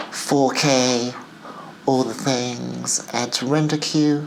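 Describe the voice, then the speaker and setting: A woman speaks at a very deep, low pitch in a monotone, flat intonation. Noticeable background noise is present. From England and the Middle East. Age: 50s. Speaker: film director and vlogger. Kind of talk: casual vlog.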